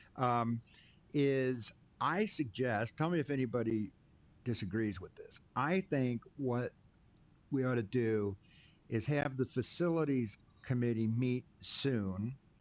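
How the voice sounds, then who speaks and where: Very slowly and with long, frequent pauses, a man speaks at a medium pitch with ordinary pitch variation. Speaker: township board chair. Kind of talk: public meeting discussion. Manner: mumbling.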